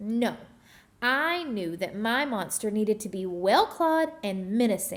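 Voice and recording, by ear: Someone is reading aloud in a natural voice with lively intonation.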